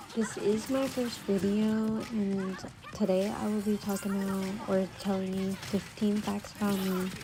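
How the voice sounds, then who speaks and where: Over noticeable background noise, a soft-spoken woman whispers at a fairly slow pace. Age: 20s. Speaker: YouTuber. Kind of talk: casual vlog chat. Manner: whispery, soft-spoken.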